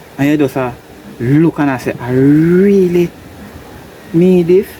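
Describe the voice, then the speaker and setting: The speaker has a Jamaican accent. Noticeable background noise is present. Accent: Jamaican Patois-accented English. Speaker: farmer and video blogger. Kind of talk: casual monologue to camera. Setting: greenhouse.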